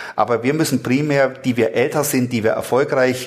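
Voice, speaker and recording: At a moderate pace, a man with a medium pitch keeps his intonation fairly even. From Germany, Frankfurt. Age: 60s. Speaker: insurance company founder. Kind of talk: interview. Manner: halting, repeats words.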